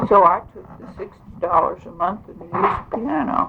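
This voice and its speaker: There is noticeable background noise as a woman with an American accent speaks at a fairly slow pace. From Kansas (Reading). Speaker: former state legislator. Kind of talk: oral history interview.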